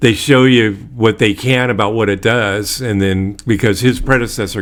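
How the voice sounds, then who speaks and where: Using an ordinary speaking voice, a man with an American accent speaks at a fairly quick pace with fairly even intonation. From Bay Area, California. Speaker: podcast host. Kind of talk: casual interview.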